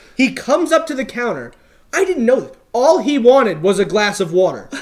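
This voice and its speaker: A man talks at an extremely high pitch, with very wide pitch swings and big swings in loudness. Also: fairly quick pace. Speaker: barista, comedy talk show co-host. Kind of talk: casual chat. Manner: animated.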